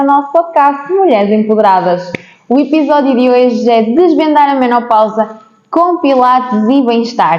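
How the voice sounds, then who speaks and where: At a moderate pace, a woman speaks with lively intonation, with audible room echo and noticeable background noise in the recording. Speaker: podcast host. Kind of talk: interview podcast.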